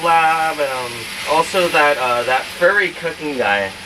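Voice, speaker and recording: Noticeable background noise accompanies talking done at a moderate pace. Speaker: cooking vlogger. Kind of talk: cooking tutorial. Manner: casual, filler-heavy.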